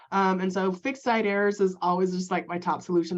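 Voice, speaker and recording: A woman with a medium pitch speaks at a fairly quick pace. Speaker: web consultant for small businesses. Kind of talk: workshop presentation. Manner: fast; filler-heavy casual delivery.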